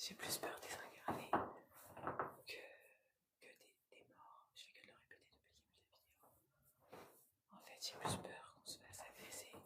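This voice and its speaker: A woman whispering, with big swings in loudness. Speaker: medium and paranormal explorer. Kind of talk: live vlog exploration, addressing viewers. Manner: speaks softly out of fear; hesitant, many fillers and repetitions.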